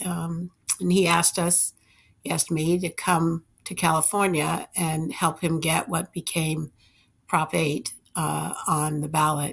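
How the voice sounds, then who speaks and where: A woman's fairly low voice with vocal fry, at a fairly slow pace with fairly even intonation, on a very clean recording with a silent background. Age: 60s. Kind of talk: interview. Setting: studio.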